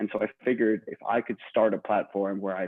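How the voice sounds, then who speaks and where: In an American accent, a man with a normal speaking voice talks at a fairly quick pace, his pitch fairly low and his intonation fairly even. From New Jersey. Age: 20s. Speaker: podcaster. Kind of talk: panel interview. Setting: video call.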